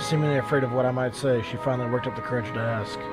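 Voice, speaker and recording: Music plays in the background while a man speaks at medium pitch. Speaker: gaming YouTuber / let's play host. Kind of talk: reading noir game narration aloud.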